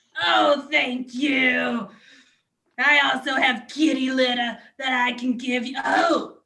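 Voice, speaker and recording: A woman's put-on character voice, high-pitched, at a fairly slow pace with fairly even intonation. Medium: stage play. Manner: brash, oversharing.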